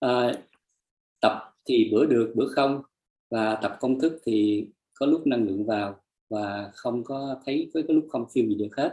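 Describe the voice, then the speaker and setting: Dark, mellow tone marks this man's medium-pitched voice. He speaks fairly slowly, with ordinary pitch variation. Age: 60s. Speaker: energy healing practitioner sharing testimony. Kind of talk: testimony. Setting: live stream. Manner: halting; soft-spoken.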